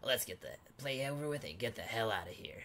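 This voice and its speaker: Putting on a raspy character voice at medium pitch, a man talks at a very fast pace with clear background noise behind him. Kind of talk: reading game dialogue aloud in character. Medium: solo performance. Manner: blunt, scolding. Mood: gruff, impatient.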